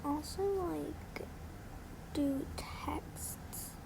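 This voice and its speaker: A woman speaks over noticeable background noise. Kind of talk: casual app tutorial narration.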